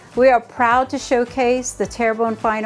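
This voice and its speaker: A woman's voice with music in the background. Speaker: interviewer, series host. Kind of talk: program intro read.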